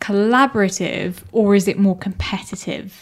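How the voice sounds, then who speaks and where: A woman speaks at medium pitch in an ordinary speaking voice. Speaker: interviewer, girlfriend of the host. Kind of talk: casual interview.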